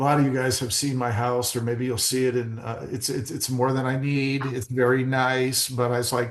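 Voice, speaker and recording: Noticeable background noise surrounds a man with an American accent and a medium pitch. He talks at a moderate pace with hardly any pauses and monotone, flat intonation. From Arizona. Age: 60s. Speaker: real estate agent. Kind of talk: podcast interview. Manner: halting.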